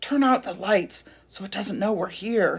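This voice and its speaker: This is a put-on character voice that sounds female, pitched in a medium range. It comes across raspy. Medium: read story. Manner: flustered, stammering.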